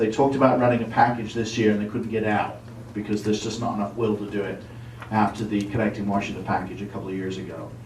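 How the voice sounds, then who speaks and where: In audible room echo, a man with a fairly low pitch talks at a very fast pace with monotone, flat intonation. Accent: English. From England. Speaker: former state legislator and city councillor. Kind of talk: presentation to officials. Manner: casual, hesitant fillers.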